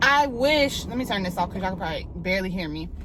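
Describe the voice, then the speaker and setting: A woman speaks over noticeable background noise. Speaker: YouTuber. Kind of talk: casual vlog monologue. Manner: loud, not soft-spoken.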